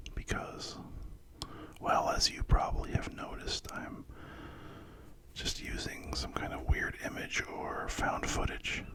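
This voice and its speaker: A whispering man at a fairly slow pace, with long, frequent pauses and noticeable background noise. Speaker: ASMR creator. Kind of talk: ASMR whispering talk to camera. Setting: studio, close microphone. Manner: whispered, soft-spoken, slow with pauses.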